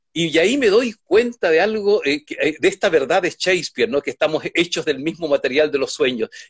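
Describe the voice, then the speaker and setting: Speech moves at a fairly quick pace with hardly any pauses. The intonation is lively. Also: man, high pitch for a man. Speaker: philosopher and writer. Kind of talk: interview conversation. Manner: halting.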